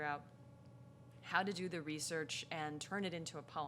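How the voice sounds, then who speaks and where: At a moderate pace, a woman talks in a bright, sharp tone with ordinary pitch variation. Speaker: poet. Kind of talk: poetry reading talk.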